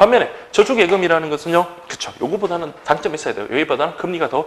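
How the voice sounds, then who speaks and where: A high-pitched man speaks at a very fast pace against noticeable background noise. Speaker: exam prep lecturer. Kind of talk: lecture.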